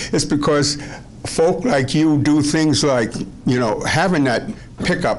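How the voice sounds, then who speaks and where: A man speaks with a fairly high pitch. There is audible room echo and noticeable background noise. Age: 80s+. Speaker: citizen speaking at council meeting. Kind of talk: public comment. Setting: council meeting room. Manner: halting, many fillers.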